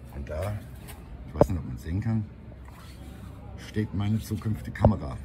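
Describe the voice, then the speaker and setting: Loud background noise fills the scene as a man speaks at a moderate pace. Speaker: walking vlogger. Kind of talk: casual vlog chat. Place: street. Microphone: phone near.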